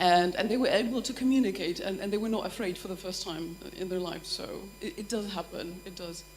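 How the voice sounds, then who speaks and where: Her intonation lively, a woman speaks with a Polish accent. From Poland. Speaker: language teacher at a university. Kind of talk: workshop discussion. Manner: halting, many false starts.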